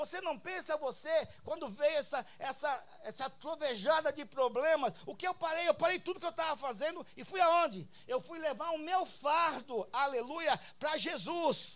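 The pace is fairly slow, with hardly any pauses. Pitch variation is ordinary. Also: man, extremely high pitch for a man. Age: 60s. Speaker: apostle preacher. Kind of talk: sermon. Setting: church. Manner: animated.

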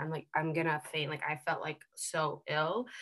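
In a General American accent, a woman speaks at a fairly low pitch with a bright, sharp tone. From US West Coast, Seattle. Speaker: health coach trainee, consultant. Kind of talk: casual interview chat. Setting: video call, across the pond.

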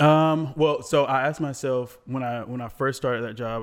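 This man, with an American accent, has a medium pitch, ordinary pitch variation and an unremarkable speaking voice. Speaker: studio owner and photographer. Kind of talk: casual chat. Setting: studio.

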